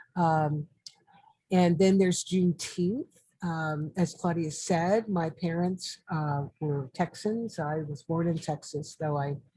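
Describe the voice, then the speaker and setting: Very slowly and with fairly even intonation, a woman speaks in a dark, mellow, somewhat breathy voice of fairly low pitch with an American accent. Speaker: artist and historian. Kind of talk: interview. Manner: halting.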